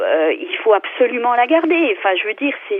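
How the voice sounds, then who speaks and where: A woman's passionate tone and lively intonation at a fairly slow pace. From France, Vosges. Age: 50s. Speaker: local elected official. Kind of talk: radio debate. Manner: passionate, hesitant with many fillers.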